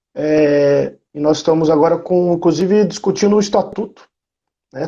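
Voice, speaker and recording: A man's fairly high pitch with a dark, mellow tone, ordinary pitch variation, and a moderate pace. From interior of São Paulo state, Brazil. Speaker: university professor. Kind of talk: interview.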